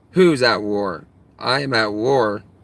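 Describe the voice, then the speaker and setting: This man speaks with an American accent and ordinary pitch variation. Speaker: live streamer. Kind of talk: live stream chat. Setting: live stream. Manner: throat clearing.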